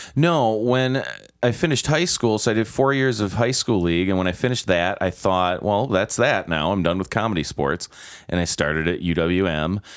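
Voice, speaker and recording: A man uses a normal speaking voice with an American accent, fairly low in pitch and at a moderate pace. His loudness stays very even. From US Midwest, Milwaukee. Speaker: improv performer and instructor. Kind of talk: casual chat.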